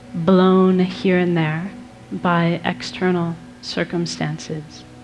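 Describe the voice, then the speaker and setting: Music plays in the background as a woman with a fairly low pitch speaks in a calm tone. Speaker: Buddhist nun and meditation teacher. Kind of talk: live talk to an audience. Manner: calm, peaceful.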